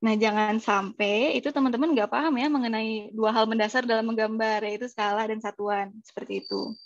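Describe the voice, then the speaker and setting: A woman's fairly high voice with fairly even intonation and hardly any pauses, over a quiet background. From Indonesia, Bandung (West Java). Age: 20s. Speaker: civil engineering freelancer, webinar speaker. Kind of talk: webinar presentation. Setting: online webinar. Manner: hesitant fillers (eh).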